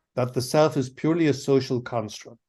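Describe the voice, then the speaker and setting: A man's ordinary pitch variation comes across against a quiet background. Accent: Irish. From Ireland. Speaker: philosophy professor. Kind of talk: academic lecture. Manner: halting, many fillers and restarts.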